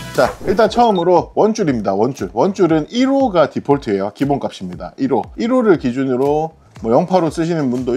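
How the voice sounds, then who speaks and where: With very wide pitch swings, a man talks fairly quickly while the background stays quiet. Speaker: fishing instructor. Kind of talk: casual instructional talk to camera.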